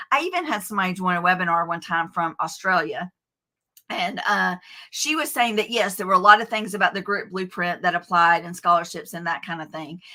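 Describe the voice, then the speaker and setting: With a Southern US accent, a woman speaks at a fairly quick pace in a bright, sharp tone of medium pitch, with ordinary pitch variation, big swings in loudness, and a very clean recording over a silent background. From US South, Athens, Georgia. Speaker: author and education coach. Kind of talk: interview. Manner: halting, many fillers.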